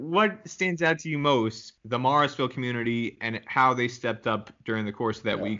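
A man talks at a fairly quick pace with hardly any pauses. His is an unremarkable speaking voice, medium in pitch with ordinary pitch variation. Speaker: podcast host. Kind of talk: casual interview.

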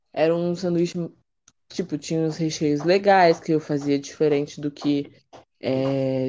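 A woman speaks at a fairly slow pace with a very deep, low pitch. Her tone is dark and mellow, and her intonation is fairly even. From Brazil, São Paulo city (East Zone). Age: 20s. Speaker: cook and psychologist. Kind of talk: casual interview.

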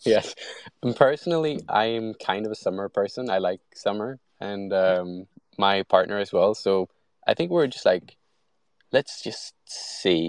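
A man with a Swedish accent, fairly low pitch, lively intonation and fairly slow pace, in a dry, close sound with no echo and a quiet background. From Sweden. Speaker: product designer and AI content creator. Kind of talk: casual interview. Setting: online audio space.

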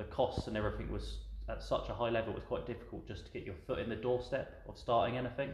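With a southern English accent, a man talks at a very fast pace over noticeable background noise and audible room echo. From southern England. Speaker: tea shop owner, ex-military. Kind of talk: casual interview. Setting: in his tea shop.

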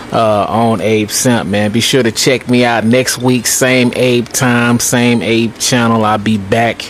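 Very slow, relaxed speech in a monotone, flat intonation over noticeable background noise. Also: man. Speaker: phone caller, show's regular DJ. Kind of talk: casual phone chat, then laid-back sign-off patter. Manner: relaxed, easygoing, slangy.

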